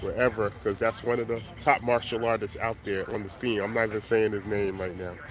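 A man's upbeat, fairly quick voice over light background noise. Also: dry sound with no echo. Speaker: flea market seller and rapper. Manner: loud, hyped, upbeat hustler patter with slang, repeated catchphrases; casual, rambling, conversational, self-promoting. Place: market. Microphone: phone near.

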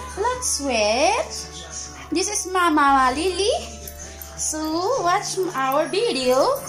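A woman at an extremely high pitch and a very slow pace, with clear music in the background. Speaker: home vlogger. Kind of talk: casual vlog chat. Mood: cheerful, playful. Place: home room. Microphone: phone near.

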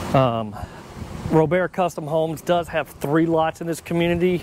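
Noticeable background noise, a dry sound with no echo, and a man speaking at a moderate pace. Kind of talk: casual vlog chat. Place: street. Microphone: lapel.

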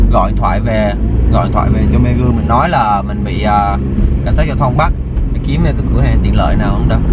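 A man at a fairly quick pace, dry sound with no echo, and loud background noise. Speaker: vlogger. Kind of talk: casual vlog chat. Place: car. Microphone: phone near.

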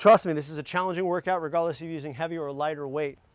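A man's voice with ordinary pitch variation comes through dry, with no echo, over a quiet background. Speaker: fitness trainer. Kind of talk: workout instruction. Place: garden.

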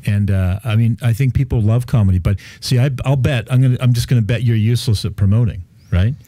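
Speaking very fast in a medium-pitched, dark, mellow, somewhat breathy voice, a man keeps very even loudness and fairly even intonation, with a dry sound with no echo and a quiet background. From Canada. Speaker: real estate developer. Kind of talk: casual chat. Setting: radio studio. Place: studio. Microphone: studio mic.

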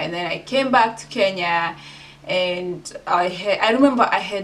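Her pitch variation is ordinary as the woman talks. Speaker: vlogger. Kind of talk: casual vlog chat. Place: home room.

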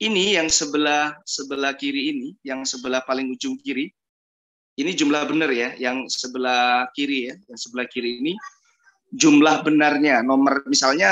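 A man at a moderate pace with ordinary pitch variation and big swings in loudness, against a quiet background. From Indonesia. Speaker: English test tutor. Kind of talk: online class. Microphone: video call.

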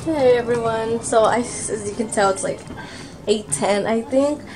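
A woman speaks at a fairly high pitch. Faint background noise is audible. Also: ordinary pitch variation, fairly slow pace, slightly mellow tone.

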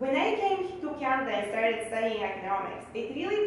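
A woman talks at a fairly quick pace in a Bulgarian accent. Strong room echo surrounds her voice, with light background noise. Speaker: economist. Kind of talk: speech. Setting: stage with audience. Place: hall.

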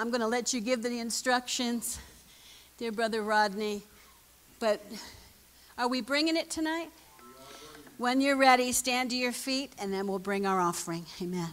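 Music plays in the background as a woman talks at a fairly high pitch. She leaves long, frequent pauses. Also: ordinary pitch variation, moderate pace. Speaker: minister. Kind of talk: testimony. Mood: emotional, tearful prayer. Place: church. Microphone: handheld.

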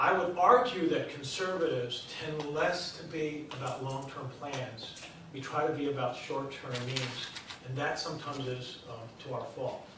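Amid noticeable background noise and audible room echo, a man speaks at a fairly high pitch with ordinary pitch variation. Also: moderate pace. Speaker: voter mobilization organization leader. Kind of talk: presentation to an audience. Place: hall.

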